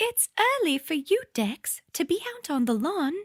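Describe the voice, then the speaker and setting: This put-on character voice sounds female, squeaky and extremely high, swinging very widely in pitch at a moderate pace. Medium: read story. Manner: cheeky, teasing.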